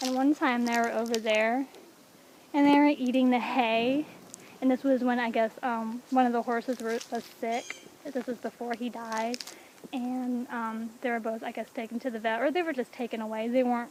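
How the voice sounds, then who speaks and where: Her pace is moderate and her pitch is high. The woman keeps her intonation fairly even. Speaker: vlogger giving a walking tour. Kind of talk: casual vlog narration. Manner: whispering.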